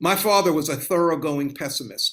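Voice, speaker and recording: A man's plain, everyday voice with an American accent, a fairly high pitch, ordinary pitch variation and a moderate pace, on a very clean recording with a silent background. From US South. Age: 60s. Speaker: author and law scholar. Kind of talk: interview.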